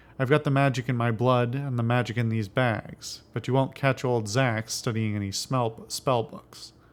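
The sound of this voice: Here is an unforced reading voice. The intonation is fairly even.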